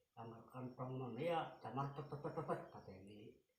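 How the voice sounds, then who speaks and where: A man talks at a fairly slow pace, with audible echo in the room. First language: Javanese (speaking Indonesian). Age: 80s+. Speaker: elderly interviewee recounting Japanese occupation. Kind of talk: interview, oral history.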